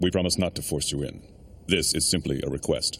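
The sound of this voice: A cartoonish character voice from a man, very deep and low in pitch, at a fairly quick pace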